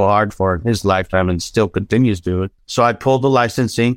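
Over a silent background on a very clean recording, a man talks very fast at a fairly low pitch. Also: dry, close sound with no echo. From Southern California (North Hollywood), Mexican-American family. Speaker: fashion designer. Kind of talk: casual interview chat.

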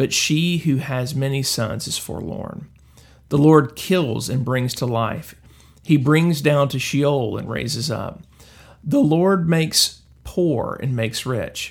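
Delivery is very slow, and the voice has a somewhat breathy quality. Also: man. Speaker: devotional host. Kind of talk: daily devotional with scripture reading and prayer. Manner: fervent, earnest, prayerful, reverent tone; hesitant, filler-heavy delivery.

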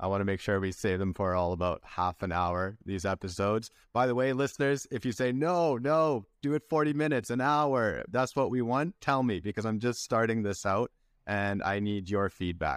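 With a Canadian accent and an unremarkable speaking voice, a man talks at a moderate pace and medium pitch with lively intonation, the sound dry and close with no echo on a very clean recording against a silent background. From British Columbia, Canada. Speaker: podcast host. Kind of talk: interview; scripted intro.

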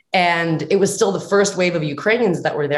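With lively intonation, a woman speaks in a plain, everyday voice at a fairly low pitch. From New Jersey, US (Ukrainian-American family). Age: 30s. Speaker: actress. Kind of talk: interview.

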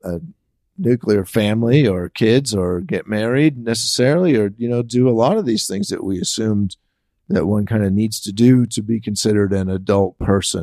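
A man with an American accent speaks at a fairly low pitch with a dark, mellow tone. The recording is very clean, with a silent background. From San Francisco, US. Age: 50s. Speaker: podcast host and writer. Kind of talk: casual chat. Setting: guest's home office studio.

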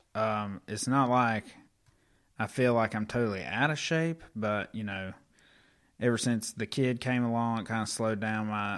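Speaking in an ordinary speaking voice with an American accent, a man talks at a fairly slow pace in a fairly low pitch with fairly even intonation on a very clean recording with a silent background. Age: 30s. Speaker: podcast host. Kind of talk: casual chat.

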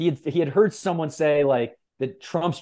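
A man with an American accent speaks in a normal speaking voice at a moderate pace. His pitch varies in an ordinary way, and the background is quiet. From US West Coast. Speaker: publisher and writer. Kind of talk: casual chat.

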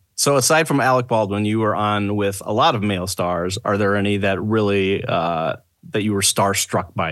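Against a quiet background, a man speaks in an ordinary speaking voice at a fairly quick pace and fairly low pitch, with hardly any pauses. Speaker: podcast co-host. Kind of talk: casual interview chat.

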